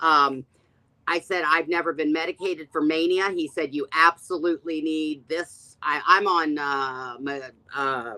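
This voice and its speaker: Loud and lively in intonation, a woman's bright, sharp tone comes through with a dry, close sound with no echo. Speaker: live video host discussing addiction. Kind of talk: casual chat.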